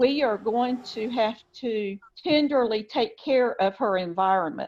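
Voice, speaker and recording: Using an ordinary speaking voice, a woman talks at a fairly slow pace with a fairly high pitch and ordinary pitch variation. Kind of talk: news interview answer.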